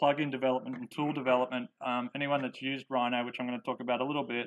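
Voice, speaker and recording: Talking very fast in a monotone, flat delivery, a man with an Australian accent speaks at medium pitch. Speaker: software developer and engineer presenter. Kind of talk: conference presentation. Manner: hesitant, many fillers.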